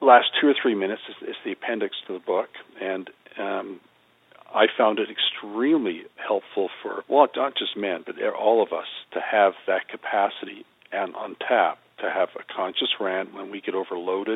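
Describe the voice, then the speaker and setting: A man speaks at a moderate pace. His volume swings widely. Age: 60s. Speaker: psychotherapist and spiritual teacher. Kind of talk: interview conversation.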